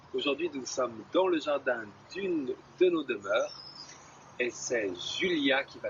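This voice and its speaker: A man talking at a fairly slow pace. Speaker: video host. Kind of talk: casual talk to camera.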